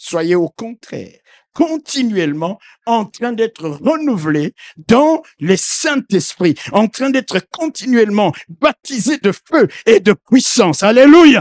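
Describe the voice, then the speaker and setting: Very slow, high-pitched speech from a man with very wide pitch swings, in a dry, close sound with no echo. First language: not French (speaking French). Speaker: preacher. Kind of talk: sermon. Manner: animated.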